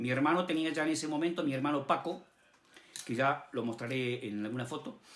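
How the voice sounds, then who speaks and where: A man at a fairly high pitch with ordinary variation, at a fairly quick pace. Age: 60s. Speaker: amateur radio operator. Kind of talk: personal storytelling. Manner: hesitant, with fillers.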